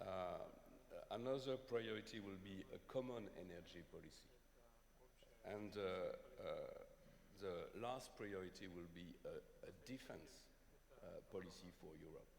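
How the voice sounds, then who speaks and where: A man at a fairly slow pace, with long, frequent pauses and audible room echo. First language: not English. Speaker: panelist at economic forum. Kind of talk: panel discussion. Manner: halting.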